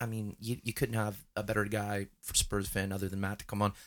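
A man talks at a very fast pace. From Canada. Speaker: soccer podcast co-host. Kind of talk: casual chat.

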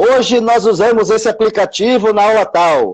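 A man speaks against a quiet background. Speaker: teacher. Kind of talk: casual chat. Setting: live video stream.

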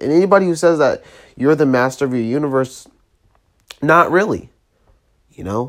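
Soft-spoken delivery at a moderate pace, broken by long, frequent pauses. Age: 20s. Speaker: podcast host. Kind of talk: motivational monologue. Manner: quiet, steady, soft-spoken.

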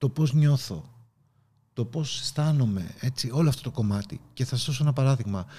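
Somewhat breathy and dark, mellow in tone, a man speaks at a medium pitch with ordinary pitch variation and a moderate pace. The recording is very clean, with a silent background. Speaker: podcast host and leadership coach. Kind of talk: motivational talk. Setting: video recording. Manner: animated.

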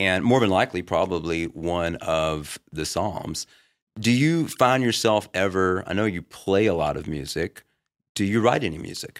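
On a very clean recording with a silent background, a man with a very deep, low voice talks at a moderate pace with ordinary pitch variation. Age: 40s. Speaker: podcast host and middle school teacher. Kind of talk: casual chat.

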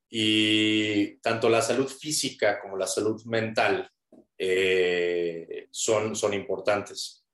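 A man with a fairly low pitch speaks very slowly, keeping fairly even intonation. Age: 30s. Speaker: nutrition and cognitive fitness coach. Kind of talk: interview.

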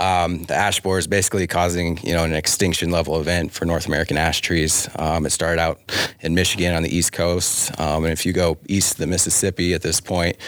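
Noticeable background noise sits behind a man with a very deep, low pitch. He talks at a fairly quick pace in a monotone, flat intonation. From Wyoming, Sheridan area. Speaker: city arborist. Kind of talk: casual interview. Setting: studio.

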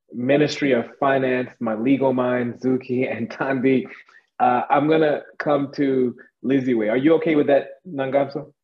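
At a moderate pace, a man at medium pitch talks in an ordinary speaking voice. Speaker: panel host. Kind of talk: moderated panel discussion. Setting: video call.

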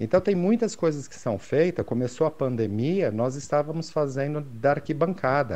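With hardly any pauses, a man talks in a fairly high pitch with lively intonation and a dark, mellow tone. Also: moderate pace. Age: 50s. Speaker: sports photographer. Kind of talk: casual interview chat. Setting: video call.

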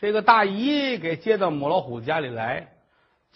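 Quiet background behind a natural reading voice

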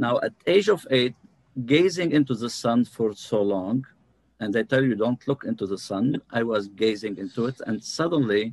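A man with an ordinary speaking voice, medium pitch, ordinary pitch variation and a moderate pace, in a dry, close sound with no echo. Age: 50s. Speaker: numerologist and healer. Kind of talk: interview.

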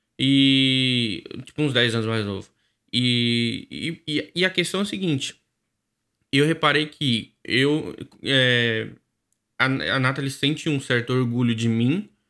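Very slowly and with long, frequent pauses, a man speaks at a medium pitch with a bright, sharp tone and ordinary pitch variation on a very clean recording with a silent background. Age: 20s. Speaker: podcast co-host. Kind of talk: casual chat.

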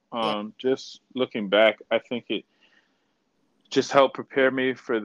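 A man is talking. There is ordinary variation in his pitch. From Toronto, Canada. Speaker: professional basketball player. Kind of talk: interview conversation.

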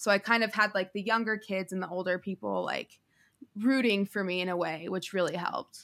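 Speaking at a fairly quick pace in a plain, everyday voice, a woman with an American accent keeps a medium pitch and fairly even intonation. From Denver, Colorado. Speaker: singer. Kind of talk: casual chat.

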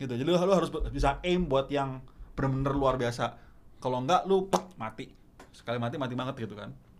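A man rattles along at a very fast pace while noticeable background noise carries on. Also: medium pitch for a man, ordinary pitch variation. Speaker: stand-up comedian. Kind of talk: casual chat.

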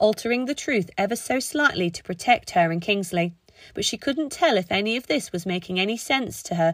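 The speaker has a natural reading voice and lively intonation.

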